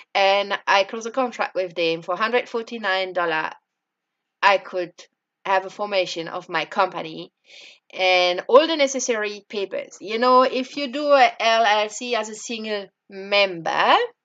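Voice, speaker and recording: A woman speaks in a French accent at a moderate pace. Her medium pitch shows ordinary variation. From France. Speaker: entrepreneur. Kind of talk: personal experience vlog. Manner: halting, many fillers.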